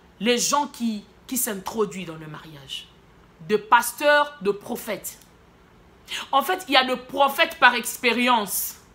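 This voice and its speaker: A woman's very slow, lively-toned speech over noticeable background noise. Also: long, frequent pauses, big swings in loudness. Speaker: prophetess, preacher. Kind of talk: sermon.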